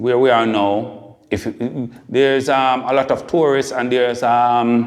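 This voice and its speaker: A man speaks at a fairly slow pace with a Jamaican accent. His intonation stays fairly even. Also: medium pitch for a man, hardly any pauses. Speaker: podcast host. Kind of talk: interview.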